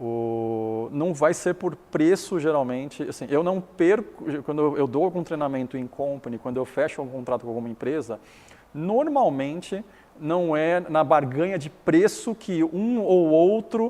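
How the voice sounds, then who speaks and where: Speaking at a fairly slow pace with a Chinese accent, a man uses a fairly high pitch and lively intonation. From Taiwan. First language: Chinese (speaking Portuguese). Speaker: business founder and educator. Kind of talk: interview.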